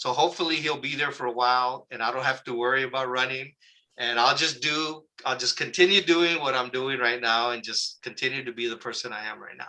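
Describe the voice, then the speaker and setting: A man with an American accent speaks at a fairly quick pace in an unremarkable speaking voice. His pitch sits in the middle range, and his intonation stays fairly even. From Southern California (Oxnard area). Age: 60s. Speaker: local community activist. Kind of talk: interview. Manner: casual, conversational with fillers.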